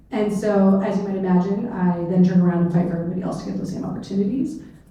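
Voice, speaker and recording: With an American accent, a woman speaks with ordinary pitch variation. Audible room echo and noticeable background noise surround her voice. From US Pacific Northwest, rural Clark County, Washington. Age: 40s. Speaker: state legislator. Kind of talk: panel discussion. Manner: casual with many fillers.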